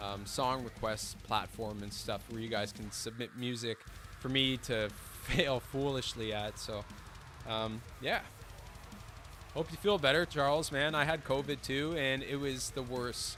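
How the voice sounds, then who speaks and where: Against music in the background, the speech moves at a fairly slow pace with long, frequent pauses and ordinary pitch variation. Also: man, medium pitch for a man. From French Canada. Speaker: drum teacher and drummer. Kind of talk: live stream Q&A chat. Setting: drum studio live stream. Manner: casual, filler-heavy.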